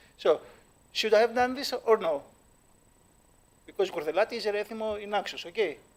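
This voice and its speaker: The speaker has a Greek accent. The pace is fairly quick. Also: man. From Greece. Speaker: dance creator and judge. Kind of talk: panel discussion. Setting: stage with live audience. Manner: halting, many fillers.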